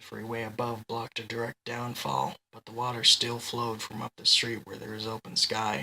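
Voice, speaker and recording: Using a gravelly, hoarse put-on character voice at medium pitch, a man talks at a moderate pace with hardly any pauses and fairly even intonation. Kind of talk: hard-boiled noir first-person narration. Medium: read story. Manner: weary, brooding.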